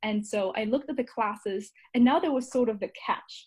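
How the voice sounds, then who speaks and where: A woman's fairly high, somewhat breathy voice at a fairly quick pace. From Germany. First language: German. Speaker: marketing coordinator and certificate student. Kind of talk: interview.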